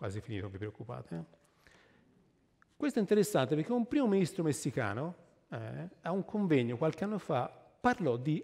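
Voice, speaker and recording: Vocal fry and very wide pitch swings against a quiet background. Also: man. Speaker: tree scientist speaker; speaker. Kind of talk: public lecture. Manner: animated. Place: stage.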